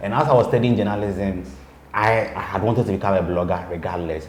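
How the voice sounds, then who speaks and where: The voice has ordinary pitch variation and audible room echo. Background noise is noticeable. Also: man. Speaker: blogger and PR person. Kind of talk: interview. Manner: halting, repeats words; calm.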